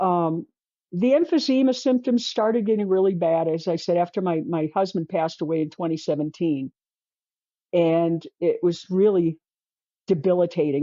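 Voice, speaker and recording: A normal speaking voice with ordinary pitch variation moves at a moderate pace. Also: woman. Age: 60s. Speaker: artist sharing diet journey. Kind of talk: interview.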